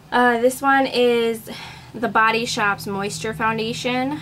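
A woman speaking at a very slow pace against noticeable background noise. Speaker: beauty vlogger. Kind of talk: casual talk to camera.

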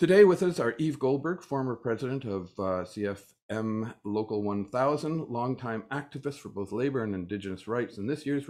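A man with a Canadian accent talks at a moderate pace in an ordinary speaking voice. His intonation is lively, and the background is quiet. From Canada. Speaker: panel moderator and union official. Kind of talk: panel discussion. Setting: video call. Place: home room. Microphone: video call.

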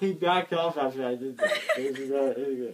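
Light background noise sits behind a man speaking. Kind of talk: casual home video chat. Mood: giddy, laughing. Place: home room. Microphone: phone near.

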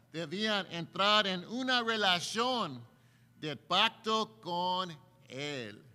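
A man speaks in a raised, projected voice with a bright, sharp tone. His pace is very slow. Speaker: preacher. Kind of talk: sermon. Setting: church. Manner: earnest, preaching cadence. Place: church. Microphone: podium.

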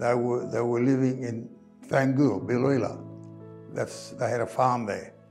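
At a fairly slow pace and with ordinary pitch variation, a man talks over faint music in the background. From Greece (Rhodes), living in Australia. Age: 80s+. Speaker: retired carpenter and church volunteer. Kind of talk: oral history interview answer. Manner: slow, hesitant, with pauses. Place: home room. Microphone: lapel.

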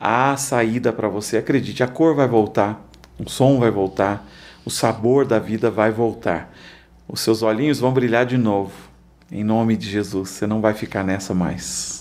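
This man's voice sits at a medium pitch with fairly even intonation. He speaks at a fairly slow pace. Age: 40s. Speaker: pastor. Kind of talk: testimony. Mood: calm, earnest, encouraging. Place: studio. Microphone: studio mic.

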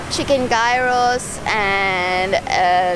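There is noticeable background noise behind a woman's voice, with a dry sound and no echo. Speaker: travel vlogger. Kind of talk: casual vlog chat. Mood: relaxed, enthusiastic. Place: beach. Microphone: phone near.

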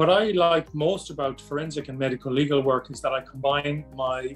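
With faint music in the background, the speaker uses an Irish accent, fairly even intonation and a moderate pace. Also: man. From Ireland. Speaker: psychiatrist. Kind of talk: promotional self-introduction. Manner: formal. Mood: calm, measured, formal. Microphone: webcam.

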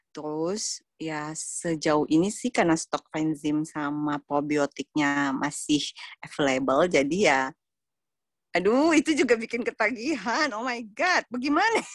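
A woman's fairly low voice at a fairly slow pace, with very wide pitch swings, dry sound with no echo and a quiet background. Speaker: member sharing product experience. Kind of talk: testimony. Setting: audio-only online call. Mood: enthusiastic, warm. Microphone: video call.

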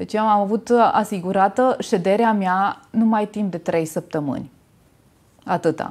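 Ordinary pitch variation in a woman's fairly slow speech. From Romania, Timișoara; Romania. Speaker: natural cosmetics maker; interview guest. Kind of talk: interview. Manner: halting. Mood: warm, reflective. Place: studio.

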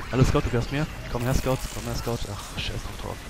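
Noticeable background noise sits behind a man's voice. He talks at a very fast pace in a medium pitch. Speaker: gaming video creator. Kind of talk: let's play commentary. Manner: casual, frequent filler sounds.

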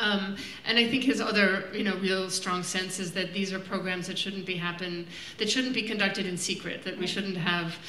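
In a room with audible echo and light background noise, a woman speaks at a moderate pace in a monotone with flat intonation. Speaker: film director on panel. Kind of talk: Q&A answer. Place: stage.

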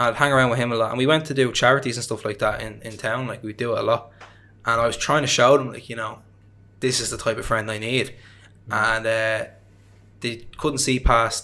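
Speaking in a Dublin accent, a man has a bright, sharp tone and monotone, flat intonation. His pace is fairly quick, broken by long, frequent pauses. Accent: Dublin Irish. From Ireland, Dublin. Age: 20s. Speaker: podcast guest. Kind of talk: interview. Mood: reflective, personal storytelling. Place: home room. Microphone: studio mic.

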